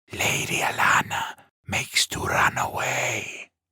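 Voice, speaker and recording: Whispering in a put-on character voice, a man hisses his words at a fairly slow pace. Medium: read story. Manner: aggressive, insistent.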